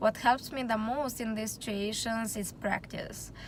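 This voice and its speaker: A woman with a Romanian accent speaks at a moderate pace in a fairly high, somewhat breathy voice with fairly even intonation. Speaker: student. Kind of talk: class presentation.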